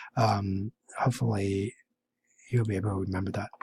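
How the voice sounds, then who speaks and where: A man's somewhat breathy voice, dry and close with no echo. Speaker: math teacher. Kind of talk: tutorial. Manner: halting.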